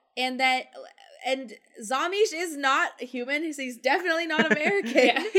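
In a raised, projected voice, a woman speaks with a high pitch and lively intonation. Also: moderate pace. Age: 20s. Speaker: film podcast guest. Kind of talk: casual chat.

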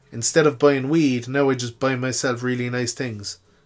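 With an Irish accent, a man talks at a moderate pace in a monotone, flat intonation and a medium pitch. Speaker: podcaster. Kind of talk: casual monologue. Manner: chatty, informal.

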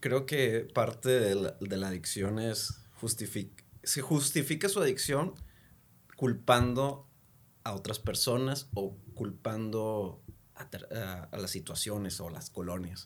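Big swings in loudness mark a man's speech at a very slow pace. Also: medium pitch for a man, ordinary pitch variation. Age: 30s. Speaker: addiction counselor. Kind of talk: casual chat.

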